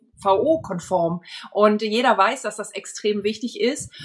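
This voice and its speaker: Fairly high in pitch, a woman speaks in an ordinary speaking voice. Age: 50s. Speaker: marketing expert and dance school owner. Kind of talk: podcast interview.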